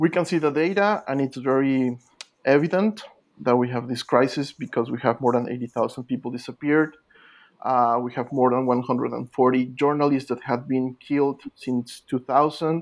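Moderately paced, a man with a Spanish accent talks at a medium pitch with ordinary pitch variation. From Mexico. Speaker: literature scholar, author. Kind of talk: interview. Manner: halting, many repetitions.

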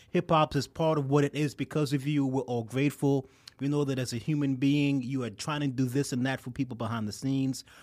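Here a man speaks with a New York accent. His pace is fairly quick and his intonation fairly even. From New York, Queens. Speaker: liqueur entrepreneur. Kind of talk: casual chat.

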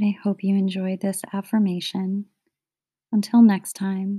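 The voice has a dark, mellow tone and a gentle, soothing tone, recorded dry and close with no echo on a very clean recording with a silent background. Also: woman. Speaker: podcast host. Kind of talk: guided meditation. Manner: slow, soothing, calm; gentle, rhythmic, with pauses between phrases.

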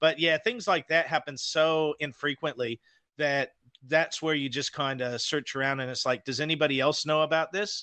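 With an American accent, a man speaks in a plain, everyday voice at a moderate pace, his fairly high pitch showing ordinary variation. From Idaho, US. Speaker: guest, paranormal show host. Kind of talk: casual chat. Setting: remote call from New Zealand.

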